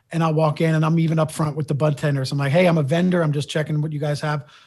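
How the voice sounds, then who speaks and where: The delivery is very fast and somewhat breathy. Its intonation stays monotone and flat. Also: man, quiet background. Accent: American. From South Philadelphia. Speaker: independent cannabis sales vendor. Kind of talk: casual interview.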